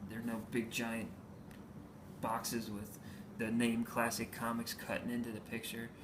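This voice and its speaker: At medium pitch and a moderate pace, a man speaks in a monotone, flat way with long, frequent pauses and audible room echo. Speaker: comic book collector vlogger. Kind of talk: casual haul video. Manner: hesitant, many fillers.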